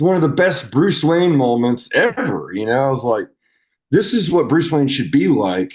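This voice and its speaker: A man's fairly high voice with very wide pitch swings, vocal fry, a moderate pace and a quiet background. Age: 40s. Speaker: rock band vocalist. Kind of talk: casual chat.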